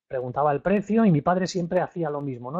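A man speaks at a fairly quick pace with ordinary pitch variation, and the background is quiet. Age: 50s. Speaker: real estate investment trainer. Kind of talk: webinar lecture. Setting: live online webinar. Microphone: studio mic.

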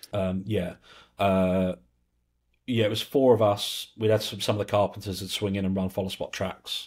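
In a southern English accent, a man speaks at a moderate pace with a very deep, low pitch and monotone, flat intonation against a quiet background. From England. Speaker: lighting control systems specialist; podcast guest. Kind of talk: casual interview chat. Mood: relaxed, reflective. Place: home room. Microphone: earbuds.

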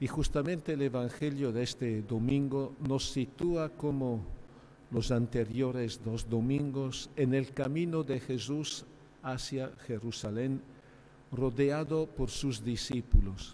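There is light background noise as a man talks at a very slow pace. His tone is dark and mellow, with fairly even intonation. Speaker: archbishop preaching. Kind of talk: sermon. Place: church. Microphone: podium.

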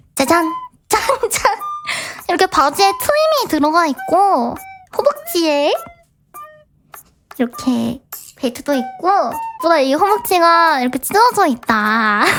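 With faint music in the background, a woman speaks at an extremely high pitch in a bubbly tone, keeping her loudness very even and leaving long, frequent pauses. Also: moderate pace. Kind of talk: cute vtuber idol talk. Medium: virtual streamer. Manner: bubbly, giggly, excitable.

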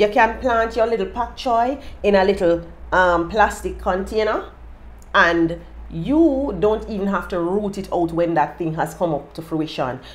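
A woman with a Jamaican accent, lively intonation and vocal fry at a fairly slow pace. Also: medium pitch for a woman. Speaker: lifestyle YouTuber. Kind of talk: casual tips monologue. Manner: animated. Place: home room. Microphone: phone near.

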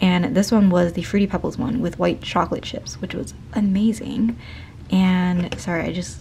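A woman speaks at a moderate pace against light background noise. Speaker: vlogger. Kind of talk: casual vlog chat. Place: home room. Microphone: phone near.

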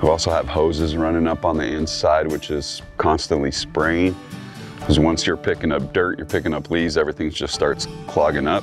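A man speaks with a very deep, low pitch. Clear music plays in the background, and the sound is dry with no echo. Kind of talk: interview answer. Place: street. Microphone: lapel.

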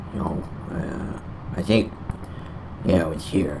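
Man at a very slow pace amid noticeable background noise. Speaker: gaming channel host. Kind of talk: casual vlog chat. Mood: annoyed, complaining. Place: home room. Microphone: studio mic.

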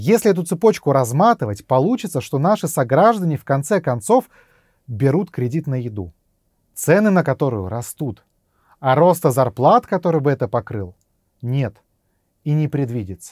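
Over a quiet background, a somewhat breathy man speaks at a moderate pace with very wide pitch swings and long, frequent pauses, in a dry sound with no echo. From Russia. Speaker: YouTube blogger on economics; political video blogger. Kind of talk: scripted narration. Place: studio.

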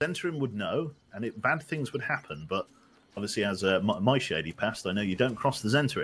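The voice moves at a very fast pace and is somewhat breathy. Its pitch swings very widely. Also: man. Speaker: gamer playing co-op with the streamer. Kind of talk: casual chat.

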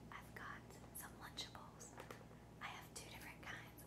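Loud background noise surrounds a woman speaking at a moderate pace. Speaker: eating video creator. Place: home room.

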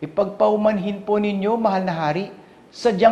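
The speaker reads in an unforced reading voice.

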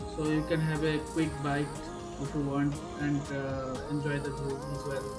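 Clear music sits behind speech delivered at a fairly slow pace. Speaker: travel vlogger. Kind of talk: casual vlog chat. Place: boat. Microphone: phone near.

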